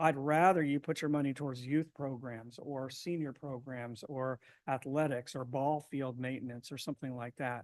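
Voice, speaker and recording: A man talks at a medium pitch and a fairly quick pace. His intonation is fairly even against a quiet background. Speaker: survey consultant presenting to city council. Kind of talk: presentation to council. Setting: city council meeting. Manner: fast.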